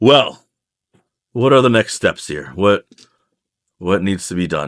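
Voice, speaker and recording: Using a put-on character voice, a man sounds wheezy and raspy, moving at a fairly slow pace with a fairly low pitch and very wide pitch swings in a dry, close recording with no echo. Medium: actual play. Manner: earnest, tired.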